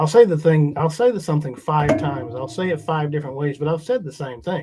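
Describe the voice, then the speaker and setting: Talking at a very fast pace with a Southern US accent, this man has a fairly high pitch and ordinary pitch variation. His tone is dark and mellow. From US South. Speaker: pastor. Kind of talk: panel discussion.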